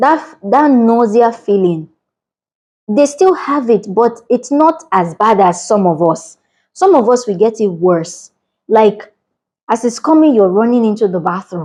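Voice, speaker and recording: With a Nigerian accent, a woman speaks at a fairly high pitch in a dark, mellow tone, her pitch swinging very widely while her loudness stays very even. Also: fairly slow pace. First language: a Nigerian language. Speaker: vlogger. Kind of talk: casual vlog talk to camera. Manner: animated.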